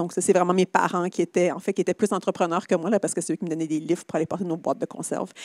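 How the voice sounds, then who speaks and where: A woman speaks in a fairly low pitch with fairly even intonation. The sound is dry and close, with no echo. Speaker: social entrepreneur, company CEO. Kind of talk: conference talk, onstage conversation. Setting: stage with live audience and online stream.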